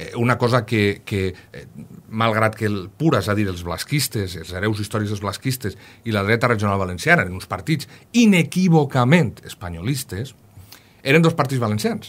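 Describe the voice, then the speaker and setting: A man's fairly low-pitched voice moves along at a moderate pace. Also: big swings in loudness. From Castelló, Valencian Country; Valencian Country. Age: 40s. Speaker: historian, university professor; university professor. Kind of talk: radio interview. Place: studio.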